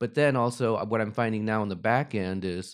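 A man uses a normal speaking voice at medium pitch and moderate pace, with fairly even intonation. The recording is very clean, with a silent background. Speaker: parent of student, guest. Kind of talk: casual conversational interview. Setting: video recording for YouTube.

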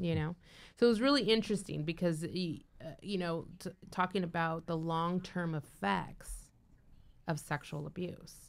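Recorded very cleanly against a silent background, a woman uses an ordinary speaking voice at a moderate pace with ordinary pitch variation. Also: fairly low pitch for a woman. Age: 40s. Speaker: radio co-host. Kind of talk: casual chat.

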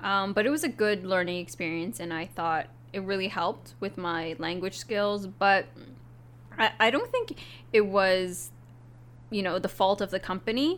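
A woman speaks with a western Canadian accent at medium pitch. Her pace is moderate and her pitch variation ordinary. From Canada, Vancouver. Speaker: office worker. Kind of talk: casual chat.

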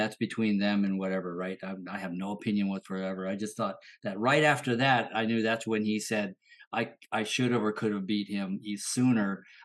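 This man has an ordinary speaking voice with a fairly low pitch. He talks at a fairly quick pace with fairly even intonation. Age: 50s. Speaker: martial arts instructor. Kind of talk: casual chat.

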